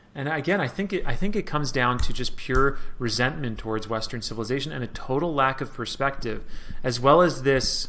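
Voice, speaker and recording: A man with a bright, sharp tone speaks amid audible room echo. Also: medium pitch for a man, ordinary pitch variation, fairly quick pace. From New York. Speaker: Middle East analyst. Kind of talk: interview. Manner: casual, many fillers.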